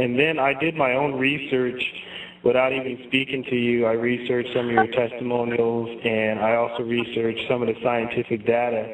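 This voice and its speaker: Against noticeable background noise, a man with a medium pitch speaks at a moderate pace. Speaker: guest, scientist and health practitioner. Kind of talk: interview.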